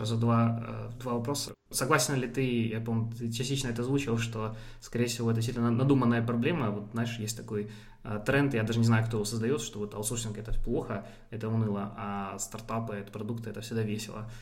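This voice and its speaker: A man talks at a fairly quick pace in a monotone, flat delivery. Room echo is audible. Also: medium pitch for a man. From Ukraine. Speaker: podcast host. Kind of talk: casual interview.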